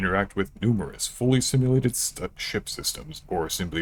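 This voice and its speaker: A man does a put-on character voice at a moderate pace with lively intonation. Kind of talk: fancy, polished announcer voice.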